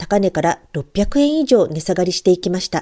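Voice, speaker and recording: A woman speaks in a dark, mellow tone. The sound is dry and close, without echo. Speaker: trader and stock blogger. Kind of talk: scripted market report. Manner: formal.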